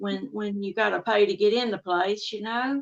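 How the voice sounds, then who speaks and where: A woman with a Southern accent talks at a moderate pace. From Texas, US. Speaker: amateur paranormal researcher. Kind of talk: podcast interview.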